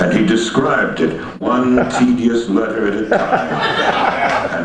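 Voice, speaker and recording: The man's medium-pitched voice moves at a very slow pace with lively intonation. Noticeable background noise runs underneath. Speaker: poet. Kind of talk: poetry reading.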